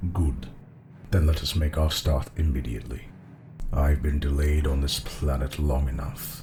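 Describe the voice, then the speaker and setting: A man uses a put-on character voice with a very deep, low pitch and fairly even intonation. He speaks at a moderate pace over clear background noise. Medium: audio drama. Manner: menacing, clipped commands.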